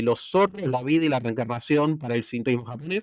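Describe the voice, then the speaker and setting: A man speaks at medium pitch. He has an Argentine accent. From Argentina. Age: young. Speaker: cybersecurity expert and novelist. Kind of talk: interview answer.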